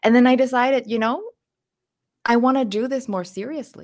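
The recording has a dry, close sound with no echo. A woman speaks at a fairly quick pace in a Thai accent. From southern Thailand. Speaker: chef and cookbook author. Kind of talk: casual interview.

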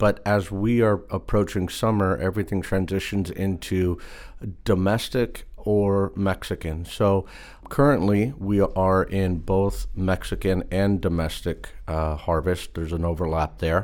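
In a very clean recording with a silent background, a man with an American accent speaks at a fairly slow pace in a very deep, low pitch with fairly even intonation. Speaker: produce sourcing manager. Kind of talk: interview. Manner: conversational, with filler words.

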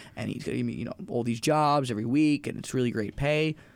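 A man's speech rushes along at a very fast pace, its pitch varying in an ordinary way. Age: 20s. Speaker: mobile DJ podcast co-host. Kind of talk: casual chat. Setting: studio.

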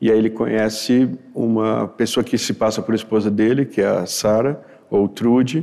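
A man with a medium-pitched voice and a dark, mellow tone speaks at a moderate pace with fairly even intonation and very even loudness. The recording is very clean, with a silent background. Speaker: writer. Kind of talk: interview. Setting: studio with audience.

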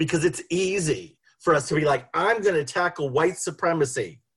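With an American accent, a man speaks at a moderate pace in an ordinary speaking voice. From Boston. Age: 50s. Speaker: sociologist. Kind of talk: panel talk. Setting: video call.

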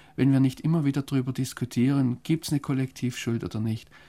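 Recorded very cleanly against a silent background, this man's dark, mellow voice stays monotone with flat intonation. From Germany. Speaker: foreign correspondent. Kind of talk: interview. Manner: hesitant, with many fillers.

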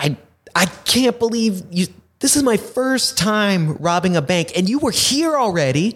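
A high-pitched man at a fairly slow pace with very wide pitch swings. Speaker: podcast host. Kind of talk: casual interview chat. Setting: studio.

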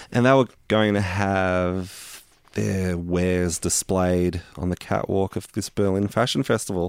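A man with an Australian accent speaks in a very deep, low pitch at a fairly slow pace. The recording is very clean, with a silent background. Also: ordinary pitch variation. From Melbourne western suburbs, Australia. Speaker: rock bass player. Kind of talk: casual interview chat. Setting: home studio.

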